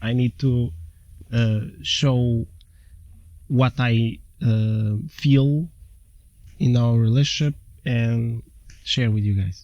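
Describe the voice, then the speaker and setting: A man speaks very slowly with a non-native accent, his pitch medium and his tone dark and mellow. Long pauses come often, and his pitch varies in an ordinary way. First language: not English. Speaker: twin flame spiritual channel co-host. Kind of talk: casual conversational explainer.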